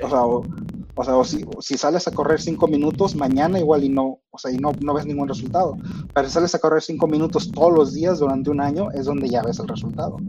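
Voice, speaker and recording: Over music in the background, a man with a fairly high pitch speaks at a fairly quick pace. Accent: Mexican. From Mexico. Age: 30s. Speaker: software engineer. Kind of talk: casual interview. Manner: halting, many fillers.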